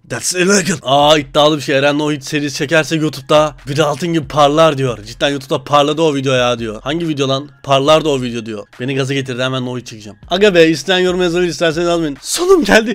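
Noticeable background noise sits under a man speaking at a very fast pace. His fairly high voice has ordinary pitch variation and hardly any pauses. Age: 20s. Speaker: YouTuber. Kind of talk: meme reaction video. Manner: animated.

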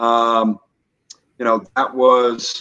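In an American accent, a man speaks with a bright, sharp tone. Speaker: whiskey brand representative; guest. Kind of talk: casual interview chat. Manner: hesitant, many fillers. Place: home room. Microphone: video call.

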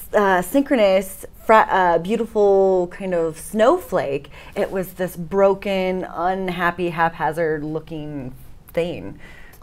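Speaking very slowly, a woman uses ordinary pitch variation. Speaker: interview guest. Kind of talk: interview answer. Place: studio.

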